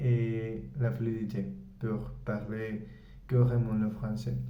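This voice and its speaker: At a very slow pace, a man with a Spanish-speaking accent talks in a flat monotone at medium pitch, with audible room echo. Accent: Spanish-speaking learner's French. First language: Spanish (speaking French). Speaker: English teacher and language learner. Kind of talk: language-learning vlog. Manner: halting, many hesitations.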